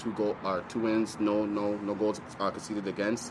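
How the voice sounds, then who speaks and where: A man speaks at a fairly low pitch. Background noise is noticeable. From north of the US or Canada. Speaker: professional soccer player. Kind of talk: press conference answers.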